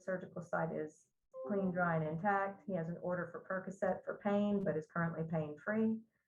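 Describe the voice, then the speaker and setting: A somewhat breathy woman's voice of fairly low pitch, at a moderate pace with fairly even intonation. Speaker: nursing instructor. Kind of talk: lecture.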